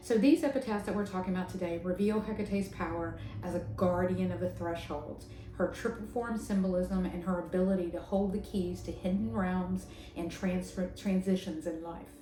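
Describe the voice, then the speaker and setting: With a strong Southern US accent, a woman speaks at a moderate pace and medium pitch with ordinary pitch variation, amid noticeable background noise and audible room echo. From US South. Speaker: tarot and pagan spirituality content creator. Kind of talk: educational talk. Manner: casual, hesitant with fillers.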